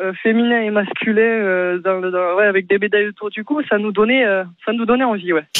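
A woman with a fairly high pitch speaks at a moderate pace in an ordinary speaking voice, her intonation fairly even. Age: young. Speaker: volleyball player. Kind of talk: radio interview.

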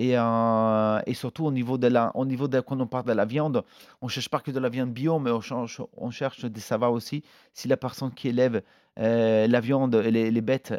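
A man speaks with an Italian accent at a medium pitch and fairly even intonation. The recording is very clean, with a silent background and a dry, close sound with no echo. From northern Italy. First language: Italian (speaking French). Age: 40s. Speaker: chef. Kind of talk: interview. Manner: halting, with many hesitations.

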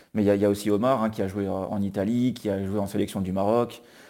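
A fairly low-pitched man with a dark, mellow tone and monotone, flat intonation on a very clean recording with a silent background. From France, near Grenoble. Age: 30s. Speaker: football writer. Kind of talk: interview. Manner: halting.

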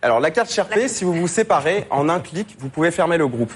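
A man talks at a fairly quick pace in a high voice, his pitch swinging very widely. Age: 20s. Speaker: fintech startup founder. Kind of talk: business pitch. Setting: TV studio with audience.

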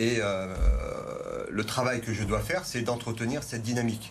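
A man's medium-pitched voice, with fairly even intonation, carries audible room echo and noticeable background noise. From France, Vaulx-en-Velin near Lyon. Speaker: teacher and parliamentary candidate. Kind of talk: televised political debate. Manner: halting, repeats words.

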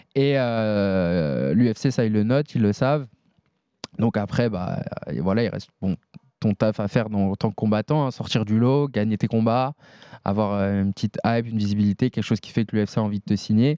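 A man speaks at a fairly low pitch with a dark, mellow tone. His pace is moderate, his pitch variation ordinary, and the sound dry and close with no echo. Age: 20s. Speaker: MMA fighter. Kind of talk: casual interview.

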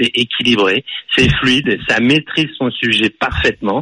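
A man with a medium pitch talks at a fairly slow pace amid noticeable background noise. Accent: slight Parisian. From Paris. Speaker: radio caller. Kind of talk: phone-in sports debate.

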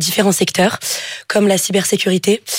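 A woman with a plain, everyday voice at a medium pitch and a moderate pace. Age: 20s. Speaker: engineering student. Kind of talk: job interview on radio. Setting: studio.

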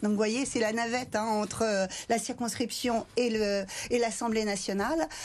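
A woman speaks in an unremarkable speaking voice, fairly high in pitch. Her intonation is fairly even. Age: 60s. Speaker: member of parliament. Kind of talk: televised political debate.

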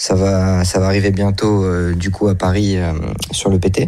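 The speaker is a man. He has a dark, mellow tone. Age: 20s. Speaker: amateur poker player. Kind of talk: interview. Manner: halting.

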